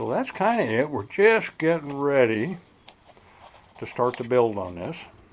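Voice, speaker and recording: At a fairly slow pace, a man of medium pitch uses very wide pitch swings and leaves long, frequent pauses. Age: 60s. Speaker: RC hobbyist video host. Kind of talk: casual hobby vlog talk.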